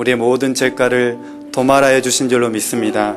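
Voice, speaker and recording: The man's voice sits at a medium pitch while music plays behind it. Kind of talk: sermon, solemn and pastoral. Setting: church sermon.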